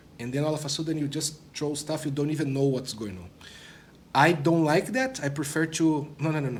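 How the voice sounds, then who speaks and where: The voice sounds somewhat breathy, with audible room echo around it. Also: man. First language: not English. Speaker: product manager, former developer relations. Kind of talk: interview. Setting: conference studio.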